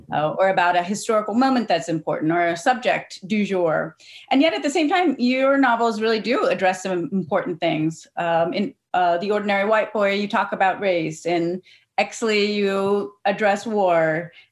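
Speaking at a moderate pace with an American accent, a woman has an unremarkable speaking voice of medium pitch and lively intonation. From Cincinnati, Ohio. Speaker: writer and creative writing professor. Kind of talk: casual chat. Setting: video call.

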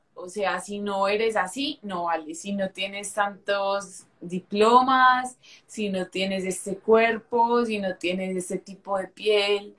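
The voice moves at a very slow pace with hardly any pauses and fairly even intonation. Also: woman, medium pitch for a woman. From Colombia, Medellín. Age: 20s. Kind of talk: interview with faith testimony.

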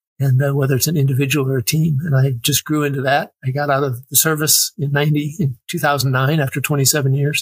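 A man with an American accent speaks in a monotone, flat way at a fairly high pitch, somewhat breathy, at a moderate pace with hardly any pauses and very even loudness, the sound dry and close with no echo. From Wisconsin, US Midwest. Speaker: military veteran. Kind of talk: casual interview chat.

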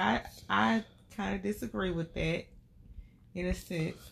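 In a Southern US accent, a woman speaks somewhat breathily with very wide pitch swings. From Albany, Georgia. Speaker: podcast co-host. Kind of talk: casual chat with her husband, podcast banter.

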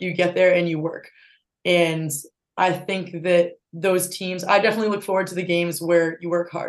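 A woman with an American accent, medium pitch, moderate pace and monotone, flat intonation. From Massachusetts, North Attleborough. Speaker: college lacrosse player. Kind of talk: casual interview.

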